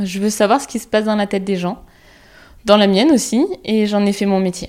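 Here is a woman with an unremarkable speaking voice at a medium pitch. She goes at a moderate pace with fairly even intonation, on a very clean recording with a silent background. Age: 30s. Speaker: psychologist and podcast host. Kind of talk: scripted podcast monologue.

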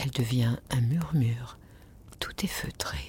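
Speaking at a very slow pace, a woman uses lively intonation and shows vocal fry. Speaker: sleep meditation narrator. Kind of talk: guided meditation. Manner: soft-spoken.

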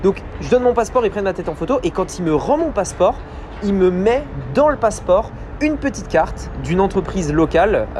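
A man's high-pitched voice with lively intonation at a fairly quick pace, amid noticeable background noise. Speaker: podcast host, online business coach. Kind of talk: solo business podcast monologue. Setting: outdoors on a balcony.

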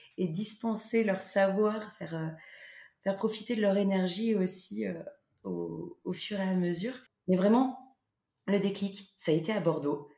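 Very slow, somewhat breathy speech from a woman, medium in pitch with a dark, mellow tone and fairly even intonation. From central France, Loir-et-Cher. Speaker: holiday cottage owner. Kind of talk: casual interview. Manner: hesitant, many fillers.

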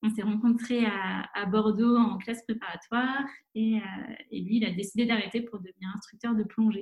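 A somewhat breathy woman at a moderate pace, her pitch fairly high. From France, La Rochelle. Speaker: environmental association co-founder. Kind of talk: interview. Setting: video call.

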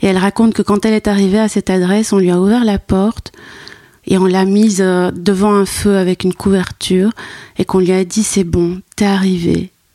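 A woman speaks in a flat monotone with a dark, mellow tone and very even loudness. The sound is dry and close, with no echo. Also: medium pitch for a woman, moderate pace. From Brussels, Belgium. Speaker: anthropologist and art historian. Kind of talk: interview. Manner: halting.

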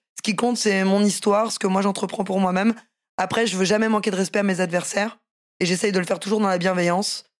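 This woman talks very fast in a medium pitch, her intonation monotone and flat. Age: 30s. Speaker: professional MMA fighter and boxer. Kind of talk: casual interview.

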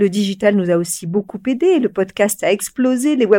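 Recorded dry and close with no echo, a woman speaks at a fairly slow pace in a normal speaking voice, her fairly high pitch carried by lively intonation. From France, Corrèze (Brive). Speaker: media company CEO. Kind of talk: interview.

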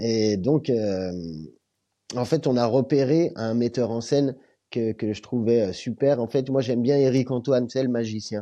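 The voice has a dark, mellow tone and fairly even intonation. It moves at a fairly slow pace. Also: man, medium pitch for a man, quiet background. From Lyon area, France. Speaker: comedian and beatboxer. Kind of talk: casual interview chat.

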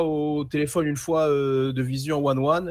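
A man with noticeable background noise. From Seine-Saint-Denis, France. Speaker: sports journalist. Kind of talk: casual chat. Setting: remote connection.

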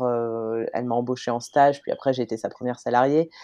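This woman has a dark, mellow tone and monotone, flat intonation. She keeps a fairly quick pace. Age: 30s. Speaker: podcaster and former environmental lawyer. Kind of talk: interview conversation. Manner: hesitant with frequent fillers.

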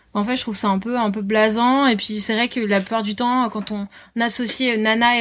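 A woman talks at a moderate pace in a fairly high pitch. Her intonation stays fairly even. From northern France, Lille. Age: 20s. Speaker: author and board-sports promoter. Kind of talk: casual interview. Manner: hesitant, many fillers.

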